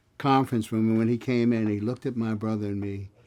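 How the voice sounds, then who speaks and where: A man speaks with an American accent at a medium pitch. His tone is dark and mellow, and his intonation fairly even. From western Pennsylvania (Aliquippa, near Pittsburgh). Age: 70s. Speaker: songwriter and retired educator. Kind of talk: interview reminiscence.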